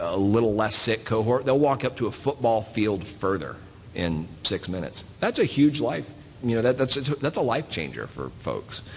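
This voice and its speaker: A man with a Southern US accent speaks at a moderate pace, his medium-pitched voice carrying lively intonation. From US South (Southeast). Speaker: physician. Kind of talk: panel talk. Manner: halting, many fillers.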